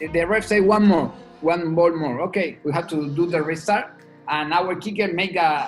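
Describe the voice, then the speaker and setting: Music plays in the background as a man speaks with an Argentine accent. His voice is high-pitched, with ordinary pitch variation and a moderate pace. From Argentina. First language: Spanish. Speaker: rugby sevens head coach. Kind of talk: podcast interview answer.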